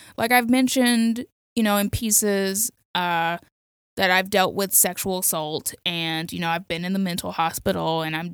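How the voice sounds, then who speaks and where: A woman speaks with an American accent and an ordinary speaking voice, her intonation lively and her pace moderate. The recording is very clean, with a silent background. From Miami, Florida. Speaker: freelance essayist and film critic. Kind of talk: casual chat. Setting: studio.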